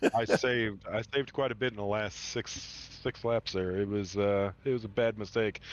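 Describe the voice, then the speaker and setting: Against a quiet background, a man with a strong Midwestern accent talks at a moderate pace with fairly even intonation. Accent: heavy Midwestern. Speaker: sim racing driver. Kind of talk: post-race interview.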